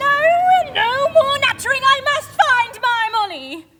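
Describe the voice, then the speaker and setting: A woman's put-on character voice, extremely high in pitch, with lively intonation at a fairly slow pace. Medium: stage play. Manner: fluttery, fussy.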